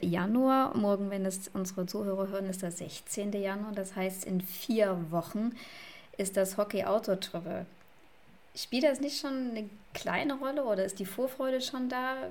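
Fairly slow and at a medium pitch, a woman with an unremarkable speaking voice talks with ordinary pitch variation. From Saxony, eastern Germany. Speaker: podcast co-host. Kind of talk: casual chat.

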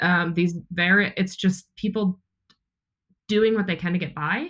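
A woman with an ordinary speaking voice talks at a fairly slow pace and medium pitch, with ordinary pitch variation. The recording is very clean, the background silent. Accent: American. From Wisconsin, near Milwaukee. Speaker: brewery sales and marketing director. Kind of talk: interview.

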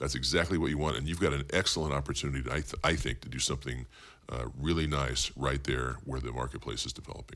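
This man talks very fast with an American accent, his very deep, low voice carrying vocal fry over fairly even intonation. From Bakersfield, California. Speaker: county supervisor and political candidate. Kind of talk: interview.

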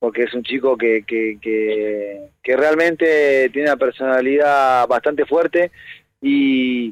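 The speech moves at a very slow pace with very even loudness and ordinary pitch variation. The sound is dry and close, with no echo. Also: man, medium pitch for a man. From Argentina, Buenos Aires (Saavedra). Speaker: professional footballer. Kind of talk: phone interview. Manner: halting, many repetitions.

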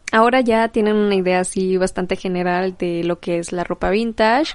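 At a moderate pace, a woman talks in an ordinary speaking voice at medium pitch with ordinary pitch variation over a quiet background. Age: 20s. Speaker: podcast host and vintage shop owner. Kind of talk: solo podcast monologue.

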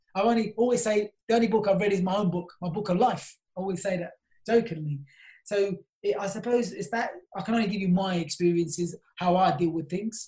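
A man with a South London accent talks at a fairly quick pace, his pitch high. His tone is dark and mellow, with fairly even intonation. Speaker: property company CEO. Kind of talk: interview.

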